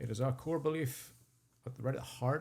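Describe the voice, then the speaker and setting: Somewhat breathy and dark, mellow in tone, a man with a Northern Irish accent speaks at a medium pitch. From Northern Ireland, rural sheep farm. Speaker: charity founder and CEO. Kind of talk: podcast interview.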